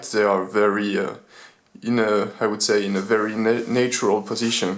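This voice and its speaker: Over noticeable background noise and audible room echo, a man talks at a fairly quick pace with a medium pitch and monotone, flat intonation. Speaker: gaming gear reviewer. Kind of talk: product review. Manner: halting, many fillers.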